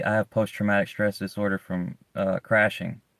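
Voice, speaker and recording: A man with a Southern US accent speaks at a moderate pace in a flat monotone with a fairly low pitch, in a very clean recording over a silent background with a dry, close sound and no echo. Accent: southern US, strong S's. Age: 30s. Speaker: live streamer. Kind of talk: casual chat. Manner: halting, repetitive.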